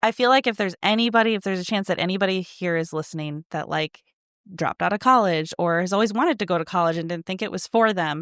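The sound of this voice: A woman talks at a fast pace with fairly low pitch, a fairly bright tone and ordinary pitch variation. The recording is very clean, with a silent background and a dry, close sound with no echo.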